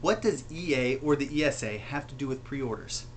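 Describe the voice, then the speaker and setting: A man with an American accent and a fairly high pitch, at a fairly slow pace. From United States. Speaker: gaming commentator. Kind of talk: rant to camera. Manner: passionate, angry.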